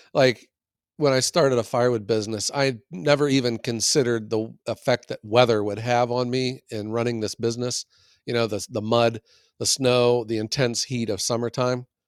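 This man has a normal speaking voice at a medium pitch and a moderate pace. The sound is dry and close with no echo, on a very clean recording with a silent background. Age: 50s. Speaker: firewood business owner, podcast co-host. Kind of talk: casual chat.

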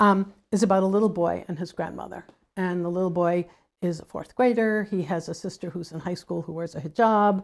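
Heard on a very clean recording with a silent background, a woman has an ordinary speaking voice with fairly low pitch and fairly even intonation. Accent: American. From New England, US. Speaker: physician and author. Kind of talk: interview. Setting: at her home.

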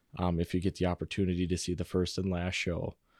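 This man's voice sits very deep and low, dark and mellow in tone, in a dry, close sound with no echo. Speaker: actor. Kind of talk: casual interview chat.

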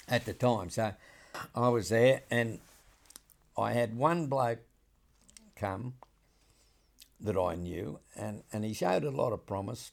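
A man at a medium pitch with a rural Australian accent, a fairly slow pace, long, frequent pauses and ordinary pitch variation. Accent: broad rural Australian. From rural New South Wales, Australia. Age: 80s+. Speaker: saddle maker. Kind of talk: interview storytelling. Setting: saddle shop.

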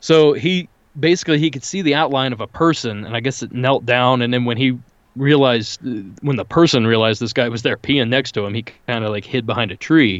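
Here a man talks at a fairly quick pace and medium pitch. It is an ordinary speaking voice. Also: ordinary pitch variation. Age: 30s. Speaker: paranormal podcast host. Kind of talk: casual chat.

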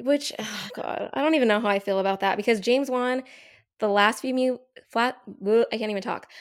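This is a normal speaking voice at a fairly quick pace. The pitch varies in an ordinary way. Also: woman, fairly high pitch for a woman. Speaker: podcast guest. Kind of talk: casual chat.

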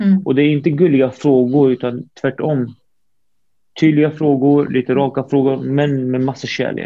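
With a fairly high pitch, a man speaks at a moderate pace. His intonation stays fairly even. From Syria, raised in Sweden from age four. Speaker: public speaker. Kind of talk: interview. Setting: video call. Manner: halting.

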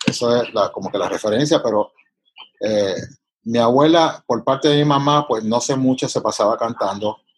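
With a Puerto Rican accent, a man speaks at a moderate pace with ordinary pitch variation. He takes long, frequent pauses. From Puerto Rico. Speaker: composer and pianist. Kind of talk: casual interview.

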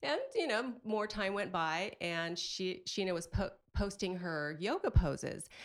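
An unremarkable speaking voice from a woman at medium pitch, fairly slow, with ordinary pitch variation and hardly any pauses. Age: 40s. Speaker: mom and podcaster. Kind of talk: casual chat.

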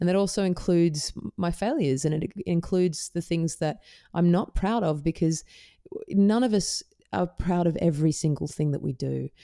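A woman's voice, dark and mellow in tone, moves along at a moderate pace. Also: fairly low pitch for a woman, ordinary pitch variation. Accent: Australian. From Perth, Western Australia. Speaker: singer-songwriter. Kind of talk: casual interview chat.

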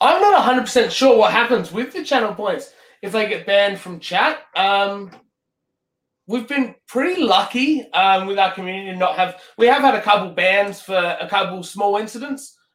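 A man speaks with an Australian accent at a moderate pace. His pitch is high, with ordinary variation. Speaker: sim racing streamer. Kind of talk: casual interview.

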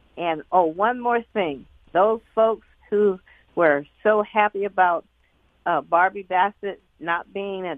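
Speaking very slowly with an American accent, a woman keeps to a medium pitch. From US South. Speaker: caller. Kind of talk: call-in talk radio. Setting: phone call.

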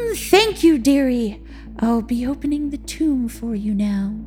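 A man puts on a character voice at an extremely high pitch, speaking fairly slowly with clear music in the background. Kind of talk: period fantasy audio drama. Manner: condescending, sly, gleeful.

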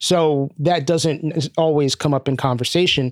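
Heard in a very clean recording with a silent background and a dry, close sound with no echo, a man with an American accent has a plain, everyday voice, fairly high in pitch, with ordinary pitch variation. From Brooklyn, New York City. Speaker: music industry executive and mental health advocate. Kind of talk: interview.

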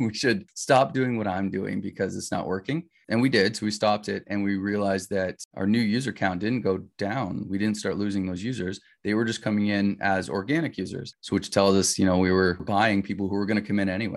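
A man speaks at a fairly quick pace with a fairly low pitch and fairly even intonation, in a plain, everyday voice. The background is quiet. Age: 40s. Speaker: video game developer. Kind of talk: interview. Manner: casual.

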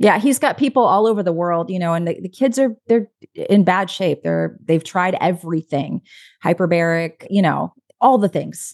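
Speaking at a moderate pace, a woman with an unremarkable speaking voice uses lively intonation at a medium pitch, recorded dry and close with no echo over a quiet background. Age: 40s. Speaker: quantum health coach. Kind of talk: casual chat.

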